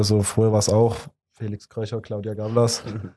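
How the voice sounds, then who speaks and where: A man's fairly low, dark and mellow voice at a fairly quick pace, with monotone, flat intonation. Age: 20s. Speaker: techno DJ. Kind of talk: casual interview.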